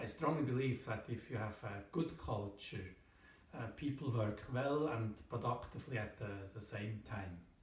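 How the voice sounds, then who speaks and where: In a room with audible echo and noticeable background noise, a man talks at a moderate pace and a medium pitch with ordinary pitch variation. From Switzerland. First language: German. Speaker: thriller author. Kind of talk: book presentation to camera. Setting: at home in front of bookshelf. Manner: hesitant, many fillers.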